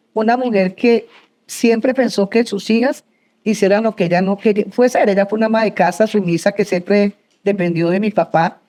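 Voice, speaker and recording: A woman's dark, mellow tone at a medium pitch, with ordinary pitch variation and very even loudness. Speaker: entrepreneur, business founder. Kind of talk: interview before live audience. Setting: university auditorium with audience. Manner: fast.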